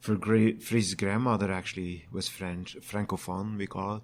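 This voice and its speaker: In a very clean recording with a silent background, a man with a Flemish Belgian accent talks at a fairly slow pace in a fairly low voice with fairly even intonation. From Flanders, Belgium. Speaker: brewer and brewery owner. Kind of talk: casual interview.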